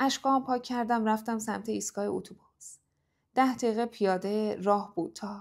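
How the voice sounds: A natural reading voice, ordinary pitch variation, and a quiet background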